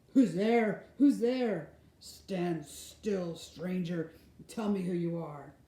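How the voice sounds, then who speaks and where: A put-on character voice growls at a middle pitch and a very slow pace. A slight echo surrounds it. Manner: menacing, demanding.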